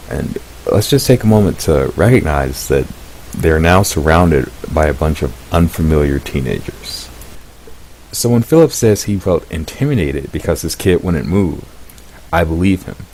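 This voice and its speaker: Through noticeable background noise, a man with a very deep, low pitch speaks in a lively intonation, leaving long, frequent pauses. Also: moderate pace. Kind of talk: commentary video summary. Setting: low quality mic.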